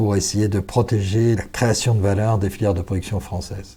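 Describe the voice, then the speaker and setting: The recording is very clean, with a silent background. A man speaks at a moderate pace in a fairly low, somewhat breathy voice with a dark, mellow tone. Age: 60s. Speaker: business founder and executive. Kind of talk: podcast interview. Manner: formal.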